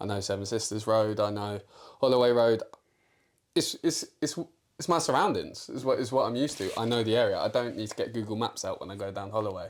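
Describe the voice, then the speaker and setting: On a very clean recording with a silent background, a man with a North London accent speaks at a very fast pace. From North London (Islington). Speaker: football podcast co-host. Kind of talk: casual chat.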